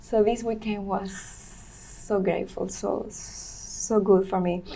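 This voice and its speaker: In a Venezuelan accent, a woman speaks at a medium pitch with monotone, flat intonation and vocal fry. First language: Spanish. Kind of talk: interview. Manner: halting.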